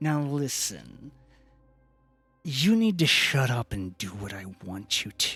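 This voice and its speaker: Over faint music in the background, a man in a put-on character voice speaks at a medium pitch and a fairly slow pace, with long, frequent pauses. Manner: sleazy and menacing.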